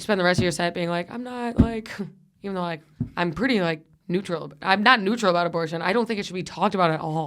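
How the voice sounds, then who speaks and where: In a very clean recording with a silent background, a woman talks very fast at a medium pitch, with ordinary pitch variation and big swings in loudness. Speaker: comedian and podcast host. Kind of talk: casual chat. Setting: studio.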